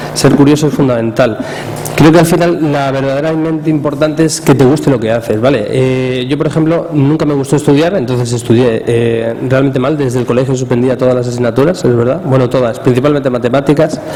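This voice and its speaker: A man speaks fairly quickly at a medium pitch with fairly even intonation. Room echo is audible, and there is noticeable background noise. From Spain, Cuenca. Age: 30s. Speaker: social media speaker. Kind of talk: talk to an audience. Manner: casual, with many fillers.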